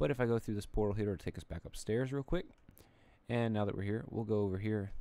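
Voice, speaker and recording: A man races along at a very fast pace with a fairly low pitch. His dark, mellow tone carries ordinary pitch variation. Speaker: gaming youtuber. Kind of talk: game tour commentary. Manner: stuttering, halting; casual, rambling.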